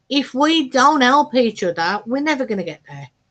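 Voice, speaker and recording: Very wide pitch swings mark this voice. The speaker is a woman. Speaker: craft YouTuber. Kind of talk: live stream chat. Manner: chatty.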